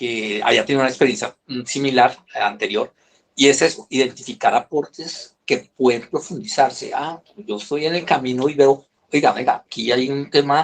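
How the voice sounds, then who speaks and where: Moderate in pace, a man speaks with a fairly high pitch. His pitch variation is ordinary. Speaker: business consultant. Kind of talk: online presentation. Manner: hesitant, many repetitions.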